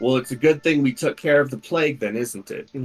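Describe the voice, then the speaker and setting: Using a booming, put-on character voice, a man speaks at a fairly quick pace in a fairly high pitch with ordinary pitch variation. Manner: loud, commanding.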